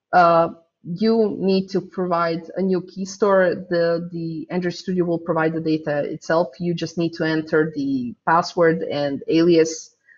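A woman speaks with a Croatian accent in a fairly low voice. Her pace is fairly slow. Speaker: software developer; conference speaker. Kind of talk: conference talk.

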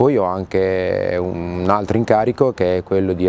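A man speaks at a fairly low pitch. The sound is dry with no echo, with light background noise. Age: 50s. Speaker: sports federation official. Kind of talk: interview. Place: garden. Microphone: lapel.

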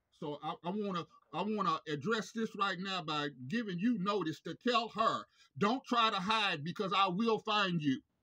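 Against a quiet background, the speaker uses a raised, projected voice with ordinary pitch variation at a moderate pace. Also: man, high pitch for a man. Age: 50s. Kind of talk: phone complaint call. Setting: phone call. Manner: halting. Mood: aggrieved, confrontational. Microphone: phone near.

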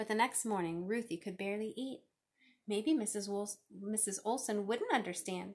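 The background stays quiet. Someone does plain reading aloud.

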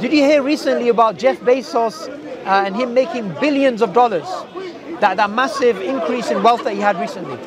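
With crowd noise in the background, a man speaks at an extremely high pitch and fairly quick pace with lively intonation in a dry sound with no echo. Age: 30s. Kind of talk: debate. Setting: outdoors. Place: garden.

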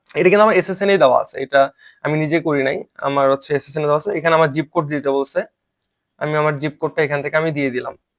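On a very clean recording with a silent background, a man in an ordinary speaking voice talks at a fairly high pitch with fairly even intonation. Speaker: online earning tutor. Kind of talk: tutorial.

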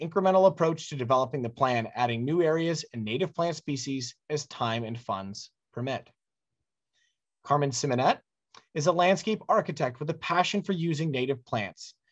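A man's somewhat breathy voice with lively intonation at a moderate pace, over a quiet background. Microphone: video call.

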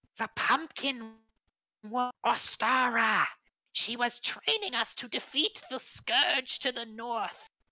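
A female-sounding, put-on character voice speaks at a fairly high pitch and a fairly slow pace, with long, frequent pauses. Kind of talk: tabletop game master voicing NPCs. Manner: quarrelsome, then fearful and reverent.

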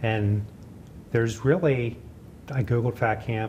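Somewhat breathy, a man speaks at a fairly slow pace with light background noise. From central Pennsylvania, Gettysburg; Pennsylvania. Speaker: author and farmers market vendor. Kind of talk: interview; interview answer. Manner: halting. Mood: relaxed, reflective. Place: hall.

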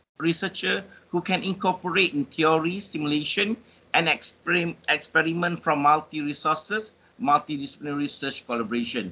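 The speaker has a Malaysian accent and a bright, sharp tone. Pitch varies in an ordinary way. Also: man. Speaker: bioinformatics professor. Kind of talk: presentation. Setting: video call. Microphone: video call.

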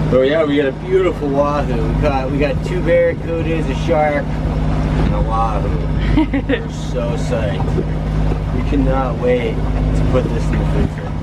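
Loud background noise fills the recording. Over it, a man talks at a fairly slow pace. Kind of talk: casual vlog chat. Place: boat.

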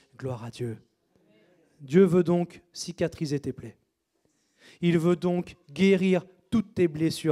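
Against a quiet background, a man with a high pitch and a dark, mellow tone talks at a very slow pace, with ordinary pitch variation, big swings in loudness, and long, frequent pauses. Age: 30s. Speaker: pastor. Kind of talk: sermon. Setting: church. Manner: animated. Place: church. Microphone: handheld.

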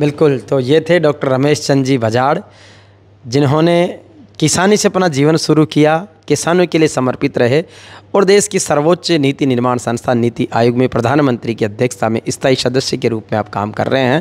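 Ordinary pitch variation marks this man's voice. He keeps a moderate pace. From Rajasthan, India. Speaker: interviewer. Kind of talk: interview. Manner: formal. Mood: respectful, warm. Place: home room. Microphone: handheld.

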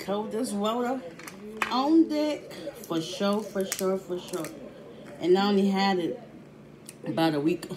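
There is noticeable background noise as a woman talks at a fairly slow pace. She leaves long, frequent pauses. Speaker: food vlogger. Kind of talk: casual mukbang vlog chat. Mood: playful, pleased. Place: home room. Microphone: phone near.

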